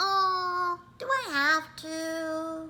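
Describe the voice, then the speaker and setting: A squeaky, put-on character voice rings out at an extremely high pitch. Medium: read story. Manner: cheeky.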